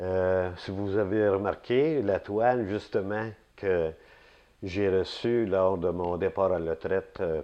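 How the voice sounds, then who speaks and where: A man speaks at a very slow pace in a fairly low pitch. His pitch varies an ordinary amount. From Quebec, Laurentides (Saint-Jérôme area). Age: 60s. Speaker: retired city employee, local elder. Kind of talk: oral history interview. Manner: hesitant, many fillers.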